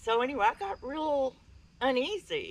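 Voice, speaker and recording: A woman speaks with an East Texas accent. Her intonation is lively. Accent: East Texas Southern US. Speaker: speaker at a paranormal campout. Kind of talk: personal story told to an audience.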